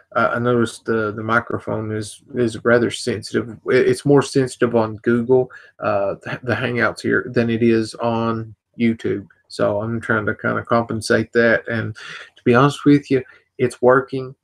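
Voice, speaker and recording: A soft-spoken man talks at a moderate pace. His medium-pitched voice stays flat and monotone. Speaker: vape product reviewer. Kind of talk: live stream casual talk. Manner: quiet, talking softly; halting, many repetitions.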